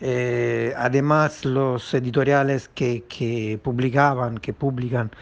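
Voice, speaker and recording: Speaking in an Italian accent, a man uses a medium pitch and a monotone, flat intonation. He goes at a very slow pace with hardly any pauses. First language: Italian (speaking Spanish). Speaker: publisher. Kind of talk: recorded statement.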